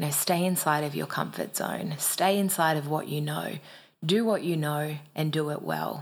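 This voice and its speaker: Fairly even intonation with an Australian accent. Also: woman, very deep, low pitch for a woman, moderate pace. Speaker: podcast co-host, personal growth coach. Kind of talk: pep talk. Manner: fired-up, emphatic, urgent, direct-address.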